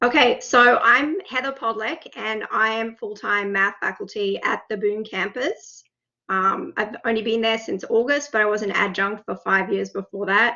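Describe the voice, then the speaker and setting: A woman with an Australian accent talks at a moderate pace in a fairly high voice. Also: ordinary pitch variation. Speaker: math faculty. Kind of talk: software demonstration. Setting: video call.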